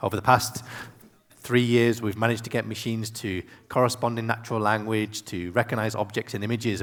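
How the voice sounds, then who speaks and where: A man with a British accent and a fairly low pitch. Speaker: tech executive and conference speaker. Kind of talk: keynote talk. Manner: fast.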